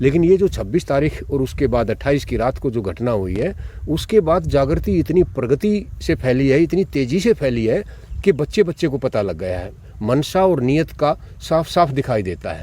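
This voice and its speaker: At a medium pitch, a man speaks with very wide pitch swings. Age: 60s. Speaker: retired college principal. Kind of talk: interview.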